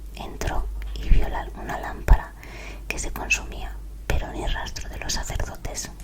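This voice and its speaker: Whispering at a fairly slow pace with long, frequent pauses and noticeable background noise. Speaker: ASMR creator. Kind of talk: whispered story reading. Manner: whispered.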